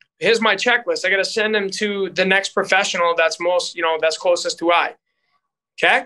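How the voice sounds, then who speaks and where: A man with an American accent projects a raised, high voice in a bright, sharp tone, keeping his intonation fairly even. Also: fairly quick pace, very even loudness. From Boston area, US. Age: 30s. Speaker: strength and conditioning coach. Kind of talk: interview conversation.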